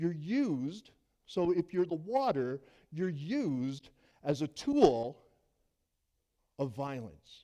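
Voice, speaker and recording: With a dark, mellow tone and a fairly high pitch, a man talks at a very slow pace, using lively intonation and long, frequent pauses. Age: 60s. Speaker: pastor. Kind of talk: sermon.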